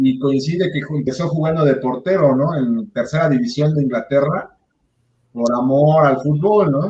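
A man's fairly high, somewhat breathy voice with a dark, mellow tone, fairly slow pace and ordinary pitch variation. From Mexico, Puebla. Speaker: sports podcast host. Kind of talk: casual chat.

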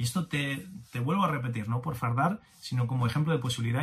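A somewhat breathy man's voice of medium pitch with ordinary pitch variation. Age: 50s. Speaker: business coach podcaster. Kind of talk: motivational monologue. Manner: animated.

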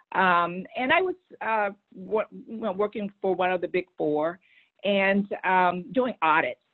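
In an American accent, a woman talks in a plain, everyday voice at medium pitch with ordinary pitch variation. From Texas. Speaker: public affairs executive. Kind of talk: interview.

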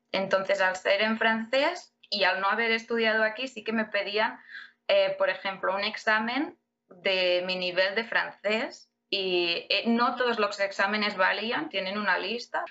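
This woman has an ordinary speaking voice at a medium pitch, with ordinary pitch variation. She talks at a fairly slow pace. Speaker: immigrant and MBA student. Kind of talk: interview.

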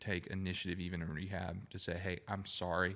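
A man speaks with an Alabama accent in a very deep, low pitch. The recording is very clean, with a silent background. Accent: US Southern (Alabama). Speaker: podcast co-host. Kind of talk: casual chat.

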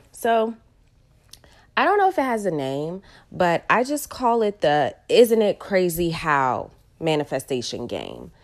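A woman's medium-pitched, animated, excited voice at a fairly slow pace, with very wide pitch swings and long, frequent pauses, on a very clean recording with a silent background. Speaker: podcast host, real estate agent and entrepreneur. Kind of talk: casual solo podcast monologue.

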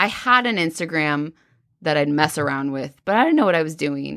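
In a bright, sharp tone, a woman speaks at a fairly quick pace with an animated tone and lively intonation on a very clean recording with a silent background. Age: 30s. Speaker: podcast host and esthetician. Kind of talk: casual chat.

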